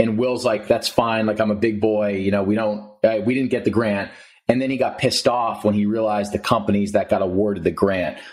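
The speaker has an American accent and talks at a fairly quick pace. The intonation is monotone and flat. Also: man, fairly low pitch for a man. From New Jersey. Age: 20s. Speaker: podcast host and health advocate. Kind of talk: casual interview.

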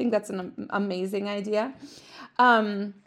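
A woman's fairly high, animated voice on a very clean recording with a silent background. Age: 40s. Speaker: podcast host and mom. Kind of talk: monologue, motivational talk to listeners. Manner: animated, friendly, laughs often.

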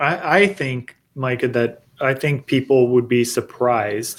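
Here is a man with a normal speaking voice. His pitch is medium and his intonation fairly even. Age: 40s. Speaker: golf course superintendent. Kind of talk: live-streamed technical discussion. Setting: video call.

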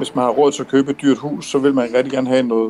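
Noticeable background noise surrounds a man speaking at a medium pitch. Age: 50s. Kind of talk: explaining to children.

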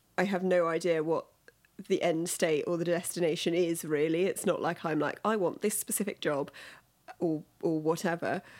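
Speaking in a London accent, a woman keeps a fairly low pitch, very even loudness and fairly even intonation at a moderate pace. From London, England. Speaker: podcast guest, product worker. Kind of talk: casual interview chat.

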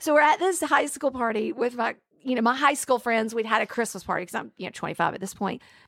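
In a Southern US accent, a woman talks at a very fast pace with a high pitch. Her tone is animated, and her loudness swings widely. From Alabama. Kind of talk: testimony.

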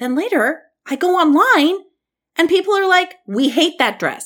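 A loud woman at a moderate pace, animated in tone, with very wide pitch swings, on a very clean recording with a silent background. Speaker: podcast host. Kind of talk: casual solo commentary.

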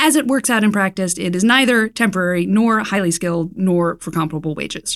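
A woman speaks fairly quickly at a medium pitch with lively intonation, in a plain, everyday voice. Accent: American. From US South, Raleigh, North Carolina. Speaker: magazine editor. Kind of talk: interview. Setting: studio.

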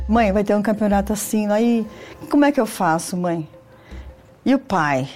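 Over music in the background, a woman at medium pitch speaks at a moderate pace with very even loudness and long, frequent pauses. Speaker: athlete's mother. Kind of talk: interview.

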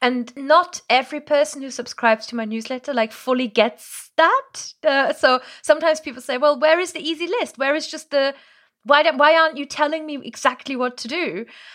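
A woman with a German accent speaks fast-ish at a high pitch, in an animated tone with ordinary pitch variation. Her loudness swings a lot. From Germany, Moselle region. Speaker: language coach. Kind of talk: casual interview. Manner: animated, laughs often.

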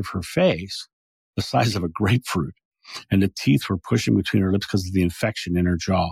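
This man has a plain, everyday voice with an American accent and a fairly low pitch that varies in an ordinary way. The recording is very clean, with a silent background and a dry, close sound with no echo. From Delaware, US. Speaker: past life regression speaker. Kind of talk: interview.

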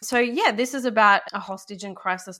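The speaker is a woman with an Australian accent. Her pitch varies in an ordinary way. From Australia, Sydney. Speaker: novelist and playwright. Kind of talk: interview.

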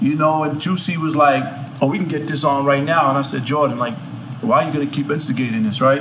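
Speaking at a fairly quick pace with a New York accent, a man with a fairly high pitch is heard over noticeable background noise. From Queens, New York. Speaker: music manager. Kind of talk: casual chat.

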